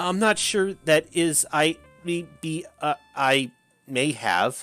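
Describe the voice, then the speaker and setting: A shaky, put-on character voice at middle pitch moves at a very slow pace over music in the background. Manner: stammering.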